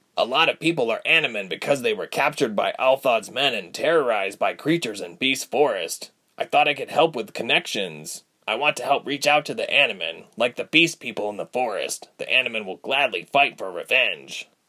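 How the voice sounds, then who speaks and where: A man performs a put-on character voice that is gruff and raspy, pitched fairly high. He speaks at a fairly quick pace. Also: hardly any pauses. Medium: read story. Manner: gruff, guilt-ridden.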